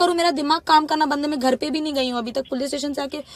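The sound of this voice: Her pitch high, a woman talks fast with ordinary pitch variation.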